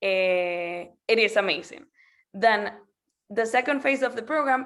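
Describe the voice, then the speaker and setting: A woman speaks at a fairly slow pace with a fairly high pitch and a Spanish accent. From Venezuela. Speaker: school program representative. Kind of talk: presentation. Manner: halting, with many fillers.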